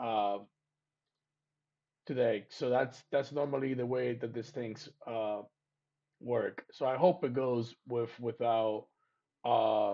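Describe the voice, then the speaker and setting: A man talks at a very slow pace. His speech has long, frequent pauses. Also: medium pitch for a man, fairly even intonation. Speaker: trading educator. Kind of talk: live training stream. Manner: hesitant, many fillers and repetitions; loud, speaking up for the mic.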